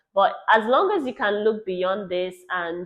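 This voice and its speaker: A woman with a Nigerian accent talks at a moderate pace. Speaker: travel vlogger. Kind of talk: casual chat.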